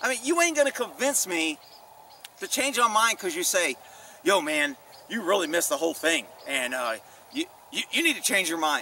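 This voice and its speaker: A man talks in a raised, projected voice at a moderate pace, his pitch swinging very widely, with long pauses coming often. The sound is dry with no echo, over light background noise. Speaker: former police officer vlogger. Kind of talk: casual vlog commentary. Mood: opinionated, mildly annoyed. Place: open country. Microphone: camera far.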